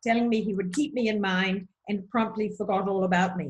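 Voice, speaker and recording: In a New Zealand accent, a woman speaks at a medium pitch with ordinary pitch variation. Her voice is somewhat breathy. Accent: New Zealand, charming. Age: 70s. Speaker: nutritionist. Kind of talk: interview.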